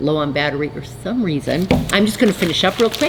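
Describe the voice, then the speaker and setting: A woman speaks at a fairly quick pace with very wide pitch swings over noticeable background noise. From North Dakota. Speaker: fiber arts business owner and channel host. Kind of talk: casual chat. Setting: video recording, sitting alone at camera.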